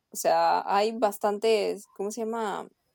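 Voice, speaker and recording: Her tone is dark and mellow, and this woman's pitch is medium. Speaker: university student. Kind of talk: casual chat.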